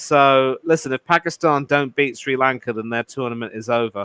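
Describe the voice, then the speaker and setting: In a very clean recording with a silent background, a man with an English accent talks at a moderate pace with fairly even intonation, his tone bright and sharp and the sound dry and close with no echo. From England. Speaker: cricket pundit. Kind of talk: casual chat.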